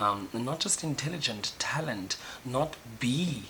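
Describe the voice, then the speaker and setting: A man's medium-pitched voice shows ordinary pitch variation as noticeable background noise continues. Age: 20s. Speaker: YouTuber. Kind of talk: personal video diary monologue. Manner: loud, animated; halting with fillers.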